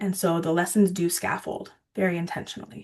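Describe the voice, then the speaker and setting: This is an unremarkable speaking voice at a moderate pace. The background is quiet. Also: woman. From Ontario, Canada. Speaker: water education presenter. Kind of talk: video call presentation.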